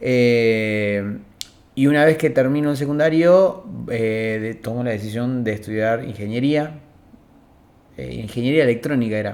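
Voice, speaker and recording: A man's medium-pitched voice with ordinary pitch variation, fairly slow pace, long, frequent pauses and audible room echo. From Argentina, Río Negro (Cipolletti). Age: 20s. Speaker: communication student. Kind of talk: interview. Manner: hesitant, many fillers.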